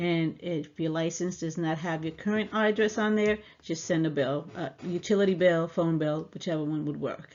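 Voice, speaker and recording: A woman with a fairly low pitch speaks at a moderate pace with ordinary pitch variation. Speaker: personal finance educator. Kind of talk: tutorial. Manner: hesitant, many fillers.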